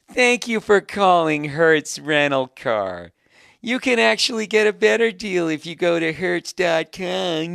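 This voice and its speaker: Set against a silent background in a very clean recording, a put-on character voice at a middle pitch speaks at a fairly slow pace in a cheerful tone. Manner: smiling, forced cheerful.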